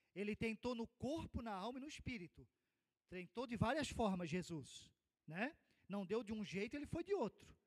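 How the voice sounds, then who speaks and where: A man talks at a high pitch and a moderate pace, with very wide pitch swings. The sound is dry and close, with no echo. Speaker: Sunday school teacher. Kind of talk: Bible class lecture.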